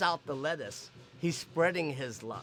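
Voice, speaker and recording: With music in the background, a man with an American accent speaks at a fairly high pitch and ordinary pitch variation. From US West, San Francisco Chinatown. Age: 60s. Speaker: community volunteer patrol and lion dancer. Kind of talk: documentary interview; casual chat on patrol.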